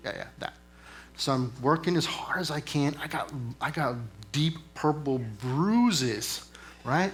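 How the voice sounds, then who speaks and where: Speaking at a fairly slow pace with long, frequent pauses, a man with an American accent has a fairly high pitch, lively intonation and a somewhat breathy sound. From East Texas. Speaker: military senior enlisted leader. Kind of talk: motivational talk. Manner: conversational, with filler words.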